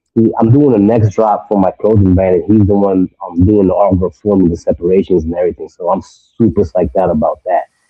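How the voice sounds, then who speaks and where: A man's fairly low voice in a New York accent, fairly quick with hardly any pauses and fairly even intonation, over music in the background. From New York (Brentwood, Long Island). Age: 30s. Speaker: screen printer, clothing brand owner. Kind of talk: casual chat.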